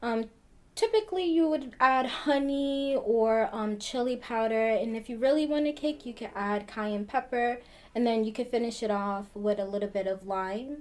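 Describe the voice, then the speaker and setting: Speaking in an ordinary speaking voice, a woman keeps a moderate pace and her pitch varies in an ordinary way. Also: fairly high pitch for a woman. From New Jersey (New Brunswick). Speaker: community health program coordinator. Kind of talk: pre-recorded video segment, cooking demonstration.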